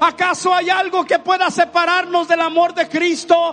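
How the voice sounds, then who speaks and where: This man talks at a fairly slow pace in an extremely high pitch, his intonation monotone and flat, with noticeable background noise. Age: 60s. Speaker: pastor. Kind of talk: sermon.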